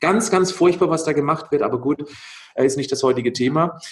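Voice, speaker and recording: A plain, everyday voice: a man, fairly high in pitch, at a moderate pace. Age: 40s. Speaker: nutrition expert and athlete. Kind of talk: interview.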